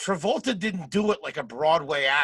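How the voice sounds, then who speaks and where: A man with a Philadelphia accent speaks at a moderate pace with lively intonation and a bright, sharp tone. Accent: Philadelphia American. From Philadelphia suburbs, US. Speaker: comedian and podcast host. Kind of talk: casual chat.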